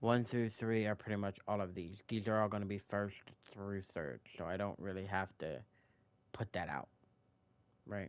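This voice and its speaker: Speaking with an American accent, a man with a fairly low voice talks at a moderate pace with ordinary pitch variation and long, frequent pauses. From United States. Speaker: gaming streamer. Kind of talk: live gameplay commentary. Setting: live stream. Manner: casual, thinking aloud.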